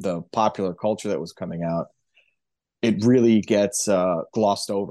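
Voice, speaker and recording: A man with a plain, everyday voice speaks at a moderate pace, his fairly low pitch showing ordinary variation. The sound is dry and close with no echo, over a quiet background. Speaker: musician. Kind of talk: casual chat.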